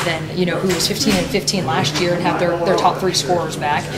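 Over loud background noise, a woman talks at a moderate pace. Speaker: head basketball coach. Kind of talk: interview answer. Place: studio.

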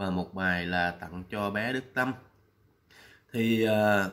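A man's fairly low, bright, sharp voice at a very slow pace. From Vietnam. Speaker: vlogger. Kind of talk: vlog commentary. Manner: hesitant, many fillers. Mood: warm, respectful. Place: home room. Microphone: webcam.

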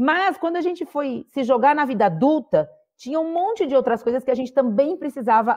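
A woman speaks at a moderate pace, with a quiet background behind her. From interior of São Paulo state, Brazil (Sertãozinho); São Paulo state, Brazil. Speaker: mentoring platform co-founder, former executive; podcast guest. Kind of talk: podcast interview. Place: home room. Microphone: earbuds.

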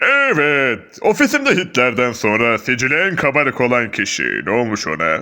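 A man puts on a character voice, talking at a moderate pace and a medium pitch. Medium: fan dub. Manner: hesitant, offhand.

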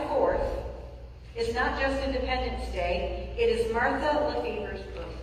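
The voice moves at a moderate pace amid strong room echo and light background noise. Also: woman. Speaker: pastor giving announcements. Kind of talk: church announcements. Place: church.

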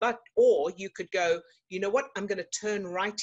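A woman is talking at a moderate pace. Little else can be heard behind her. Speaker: emotional fitness coach. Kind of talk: coaching talk to online group. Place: home room. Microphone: webcam.

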